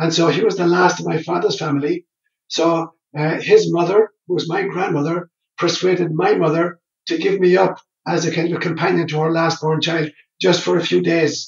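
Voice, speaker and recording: A high-pitched man's voice in an Irish accent, monotone and flat. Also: moderate pace. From Ireland. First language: Irish Gaelic. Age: 70s. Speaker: priest and psychologist. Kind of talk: interview.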